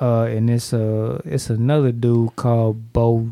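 An ordinary speaking voice, this man talks with an American accent at a medium pitch and with fairly even intonation. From St. Louis, Missouri (University City, Hazelwood). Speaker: rapper. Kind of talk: casual chat.

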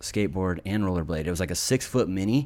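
A man with an American accent speaks at a fairly low pitch, with ordinary pitch variation. The recording is very clean, with a silent background. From Reno, Nevada. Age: 30s. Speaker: skater. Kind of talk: casual chat. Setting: studio.

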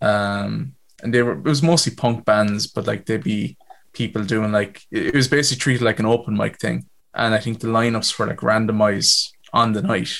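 With a Waterford accent, a man speaks at a moderate pace and medium pitch, his pitch variation ordinary. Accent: Waterford Irish. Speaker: musician. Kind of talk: casual chat.

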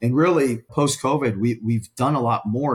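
On a very clean recording with a silent background, a man speaks at a medium pitch and a moderate pace in a somewhat breathy voice with ordinary pitch variation. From Pittsburgh, US Northeast. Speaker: events sales director. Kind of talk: casual interview. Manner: animated.

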